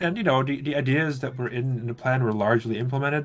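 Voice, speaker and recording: A man with a non-native accent talks at a very fast pace in a medium pitch. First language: not English. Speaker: game mod developer. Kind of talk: casual chat. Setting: livestream.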